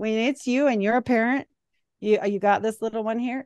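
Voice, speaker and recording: The delivery is animated and fairly slow. It sounds dry and close with no echo over a quiet background. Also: woman. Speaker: podcast host. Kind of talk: casual chat. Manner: loud.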